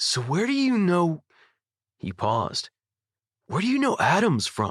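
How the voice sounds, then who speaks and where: A man puts on a husky, high-pitched character voice. He moves at a moderate pace with very wide pitch swings. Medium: read story.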